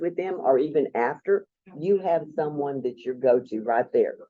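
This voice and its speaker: He has a normal speaking voice, talking at a moderate pace with ordinary pitch variation. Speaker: procurement co-op presenter. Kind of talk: presentation.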